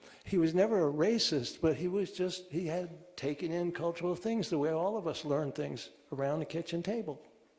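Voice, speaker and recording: Audible room echo surrounds a man speaking at a high pitch and a fairly quick pace, with ordinary pitch variation. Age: 80s+. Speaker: author. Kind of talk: conversation at a church talk. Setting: congregation gathering. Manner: halting.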